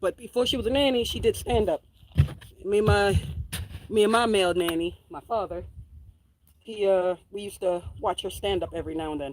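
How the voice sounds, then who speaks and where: Speaking in a New York accent at a fairly quick pace, a woman takes long, frequent pauses. Her medium-pitched voice has an animated tone, ordinary pitch variation and big swings in loudness. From New York City, Queens. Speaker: homesteader and farm vlogger. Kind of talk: casual vlog chat.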